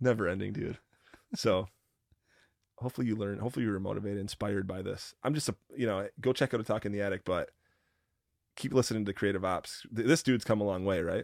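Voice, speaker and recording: Very fast speech from a man with a fairly low pitch and ordinary pitch variation, broken by long, frequent pauses. The sound is dry and close with no echo, on a very clean recording with a silent background. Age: 30s. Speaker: podcast host guest. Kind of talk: casual chat.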